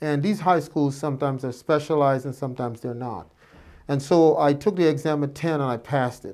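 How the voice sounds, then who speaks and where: Recorded very cleanly against a silent background, a man with a fairly high pitch talks at a fairly quick pace with ordinary pitch variation. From Guyana, Georgetown area. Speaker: physician. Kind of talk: interview. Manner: hesitant with fillers.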